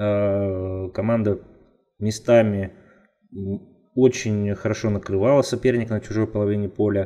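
A man with a fairly low, dark, mellow voice speaks at a fairly slow pace in a monotone, flat intonation, leaving long, frequent pauses. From Russia, Nizhny Tagil. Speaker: football analyst. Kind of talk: casual chat.

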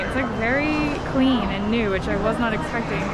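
The speech moves at a moderate pace, with clear music in the background. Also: woman. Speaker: vlogger. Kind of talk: casual vlog chat. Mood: excited, cheerful. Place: hall. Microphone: phone near.

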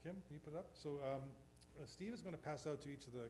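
Audible room echo around a man's somewhat breathy voice. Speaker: energy company founder. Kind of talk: business presentation. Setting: town council work session. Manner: soft-spoken. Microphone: too quiet, far from the mic.

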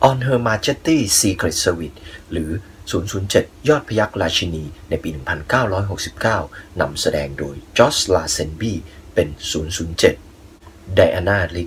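A man's very deep, low pitch with very wide pitch swings. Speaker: movie review channel host. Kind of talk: radio-style movie recommendation narration.

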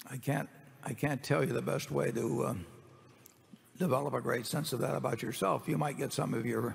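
A man with vocal fry speaks at a moderate pace, leaving long, frequent pauses. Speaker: company chairman on panel. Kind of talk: Q&A answer at shareholder meeting. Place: hall.

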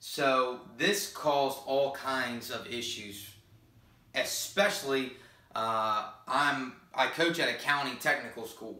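A man's very slow delivery, fairly high-pitched for a man, with ordinary pitch variation and audible room echo. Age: 20s. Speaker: high school football coach. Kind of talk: vlog monologue. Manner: hesitant, many fillers. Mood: earnest, confessional. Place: home room. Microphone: camera far.

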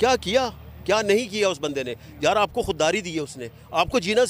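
In an animated tone, a man with a high pitch speaks at a moderate pace, the sound dry with no echo. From Pakistan, Multan; Pakistan. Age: 50s. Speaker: rally attendee interviewed by reporter; interviewee. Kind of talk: street interview. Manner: impassioned, animated. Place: stadium.

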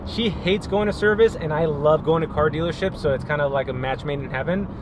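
Noticeable background noise sits under a man talking at a fairly quick pace, the sound dry with no echo. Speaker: real estate agent vlogger. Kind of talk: casual vlog chat. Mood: upbeat, relaxed. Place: car. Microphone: phone near.

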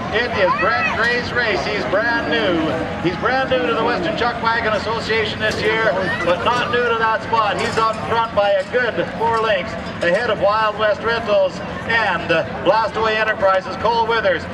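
A man talking at a moderate pace amid loud background noise. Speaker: rodeo race announcer. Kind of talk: live sports commentary. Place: stadium.

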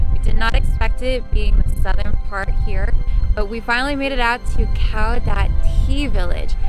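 Clear music plays in the background. The speech comes at a moderate pace with a dry sound and no echo. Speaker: travel vlogger. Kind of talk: casual vlog chat.

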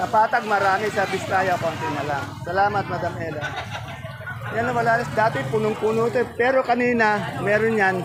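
Noticeable background noise sits behind the recording. Over it, a man talks with lively intonation. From Philippines. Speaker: market vlogger. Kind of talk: vlog with market price interviews. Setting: outdoors at a vegetable trading market. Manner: friendly, polite.

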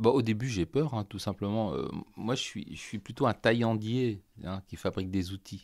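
In a very clean recording with a silent background, a man speaks at a fairly low pitch and a moderate pace. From France, Loiret (Artenay). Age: 50s. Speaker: violin maker. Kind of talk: interview. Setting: workshop. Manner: halting.

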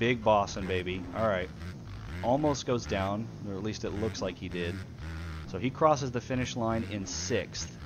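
A man's fairly low voice with vocal fry and lively intonation. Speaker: race commentator. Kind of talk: live sports commentary on a gaming race stream. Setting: stream commentary booth. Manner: animated, fast play-by-play, calling out riders and positions.

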